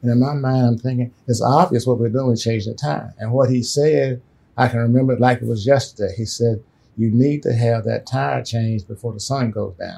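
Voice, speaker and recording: A somewhat breathy voice with an American accent at a fairly quick pace. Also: man, medium pitch for a man, ordinary pitch variation. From US South, rural South Carolina. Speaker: civil rights activist and army veteran. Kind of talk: interview storytelling. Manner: halting, many fillers.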